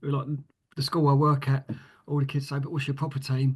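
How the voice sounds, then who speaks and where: Somewhat breathy speech from a man in an East London accent, pitched fairly high. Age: 50s. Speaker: author and writing mentor. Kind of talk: podcast interview. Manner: halting, many fillers and repeats.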